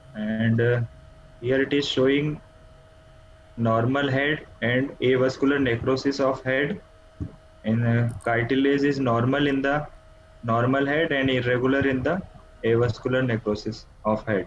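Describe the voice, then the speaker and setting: Speaking at a fairly slow pace with long, frequent pauses, a man keeps a medium pitch and very even loudness. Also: fairly even intonation. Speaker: orthopaedic trainee doctor. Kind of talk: academic presentation. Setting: video call.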